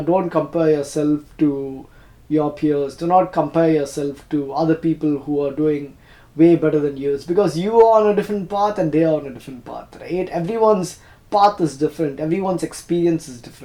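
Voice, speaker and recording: A man with a Tamil accent talks at a moderate pace in a dark, mellow tone, his pitch fairly high with ordinary variation and his loudness swinging widely. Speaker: YouTuber. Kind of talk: personal reflection monologue. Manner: halting, self-correcting.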